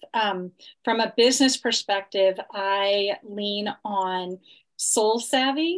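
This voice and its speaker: Over a quiet background, a woman speaks at a very slow pace and medium pitch. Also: ordinary pitch variation. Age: 50s. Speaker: health coach. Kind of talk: interview.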